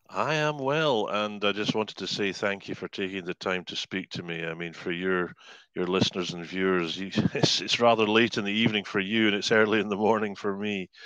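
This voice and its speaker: A man with a Scottish accent, fairly low in pitch and bright and sharp in tone, at a fairly quick pace with ordinary pitch variation. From Scotland. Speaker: hypnotherapist and life coach. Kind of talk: podcast interview answer.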